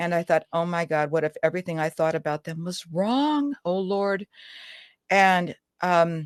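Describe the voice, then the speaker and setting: With a dry, close sound with no echo and a quiet background, a woman speaks at a fairly slow pace. She has an ordinary speaking voice with fairly low pitch. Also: ordinary pitch variation. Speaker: author and family historian. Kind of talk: radio interview answer.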